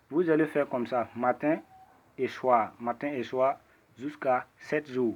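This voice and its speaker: A man with a medium-pitched voice talks very slowly, his pitch varying in an ordinary way. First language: not French (speaking French). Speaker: ritual practitioner. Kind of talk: tutorial. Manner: halting.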